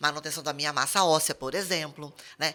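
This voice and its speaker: A woman's voice with a bright, sharp tone. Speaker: pharmacist podcast host. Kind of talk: casual chat. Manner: animated.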